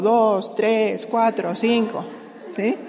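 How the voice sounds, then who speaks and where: A woman talks in a fairly high pitch. There is noticeable background noise. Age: 60s. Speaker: pastor's wife and women's ministry teacher. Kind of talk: sermon.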